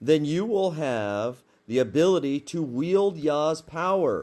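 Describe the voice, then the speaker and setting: With lively intonation and a fairly high pitch, a man speaks on a very clean recording with a silent background. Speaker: religious teacher. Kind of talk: casual sermon. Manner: animated.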